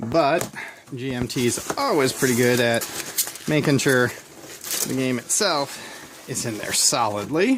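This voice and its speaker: Long, frequent pauses break up fairly slow speech while noticeable background noise carries on behind it. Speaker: board game hobbyist. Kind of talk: casual unboxing talk to camera. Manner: hesitant, stammering.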